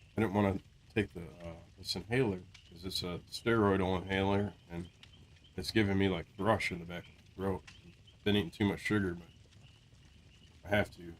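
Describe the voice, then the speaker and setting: With a very deep, low pitch and fairly even intonation, a man talks at a moderate pace, with long, frequent pauses and big swings in loudness. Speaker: gaming streamer. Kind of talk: casual live-stream chat. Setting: home stream, in Discord.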